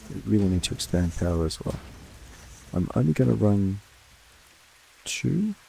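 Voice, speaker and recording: Soft-spoken, a man talks at a moderate pace in a very deep, low pitch with lively intonation. He leaves long, frequent pauses, and noticeable background noise can be heard. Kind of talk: soft-spoken relaxed gaming commentary for sleep. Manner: soft-spoken, easygoing.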